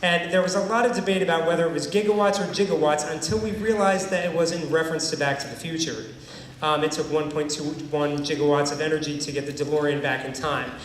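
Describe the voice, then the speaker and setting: Amid noticeable background noise and audible room echo, a man with a fairly high pitch and ordinary pitch variation speaks at a very fast pace. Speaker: band director. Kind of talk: concert announcement. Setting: stage with audience.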